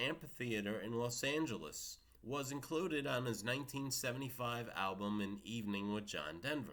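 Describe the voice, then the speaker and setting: The voice carries a New York accent and lively intonation. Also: man. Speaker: music video blogger. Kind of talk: casual monologue with read-out facts.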